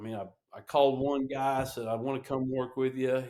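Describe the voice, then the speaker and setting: A man's medium-pitched voice, an unremarkable speaking voice, with fairly even intonation. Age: 60s. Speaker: veteran helicopter pilot and knife maker. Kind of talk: casual interview chat.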